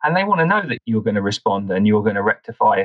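This man has a normal speaking voice, pitched in the medium range with ordinary pitch variation. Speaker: partner director at a review platform. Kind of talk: casual interview.

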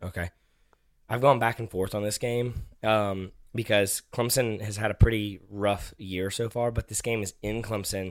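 A man with a fairly low pitch talks at a moderate pace in an ordinary speaking voice, his intonation fairly even, on a very clean recording with a silent background. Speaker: podcast host, father. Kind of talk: casual chat. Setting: home recording.

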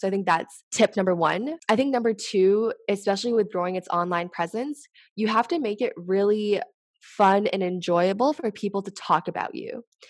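A normal speaking voice with ordinary pitch variation talks at a moderate pace against a quiet background. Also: woman, medium pitch for a woman. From Canada. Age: 20s. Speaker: startup e-commerce lead. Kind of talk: casual interview chat.

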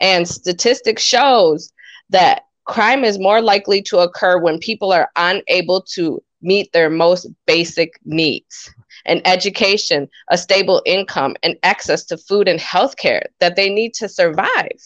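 With a normal speaking voice, a woman talks at a fairly slow pace, medium pitch, and ordinary pitch variation. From Wisconsin, small town north of Madison. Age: young. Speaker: political candidate and community activist. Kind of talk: radio interview.

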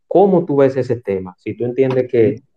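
At a fairly quick pace, a man with a plain, everyday voice speaks at a medium pitch. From Santo Domingo, Dominican Republic. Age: 40s. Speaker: talk show host. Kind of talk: interview. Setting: online audio room.

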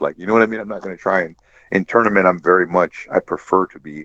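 A man at a fairly quick pace, with a dry, close sound and no echo. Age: 40s. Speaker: jiu-jitsu purple belt. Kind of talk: casual chat.

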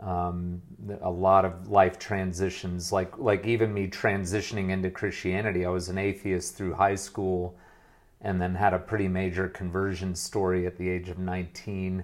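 Speaking at a moderate pace with an American accent, a man uses a very deep, low pitch and monotone, flat intonation. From US, moved between states. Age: 40s. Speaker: former pastor turned business coach. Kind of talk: interview conversation.

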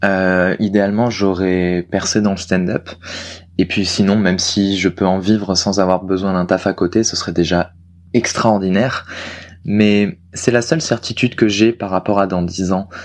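Here a man has an unremarkable speaking voice, fairly low in pitch, with fairly even intonation at a fairly slow pace. The recording is very clean, and the background is silent. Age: 20s. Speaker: aspiring stand-up comedian. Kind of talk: casual chat.

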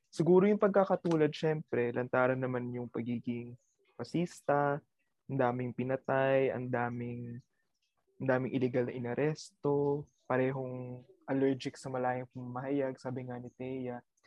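Delivered at a moderate pace, a plain, everyday voice carries fairly even intonation and big swings in loudness. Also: man, medium pitch for a man. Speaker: university student. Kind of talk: casual chat.

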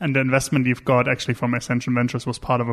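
A man with a German accent. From Germany. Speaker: podcast host. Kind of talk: interview.

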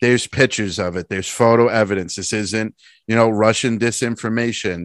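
A plain, everyday voice from a man, medium pitch, ordinary pitch variation, dry, close sound with no echo against a quiet background. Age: 30s. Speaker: podcast co-host. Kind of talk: casual political chat.

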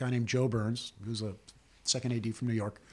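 A man with a medium pitch and a somewhat breathy voice talks at a fairly quick pace. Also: very clean recording, silent background. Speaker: film assistant director. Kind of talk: interview.

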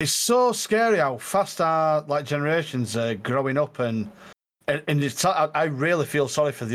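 A man is speaking. He has a Yorkshire accent. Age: 30s. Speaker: streamer. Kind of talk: casual chat.

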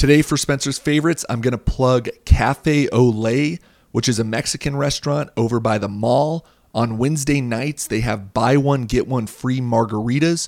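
On a very clean recording with a silent background, a man has an ordinary speaking voice, a medium pitch, ordinary pitch variation and a moderate pace. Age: 20s. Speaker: podcast host. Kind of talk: scripted monologue; casual chat.

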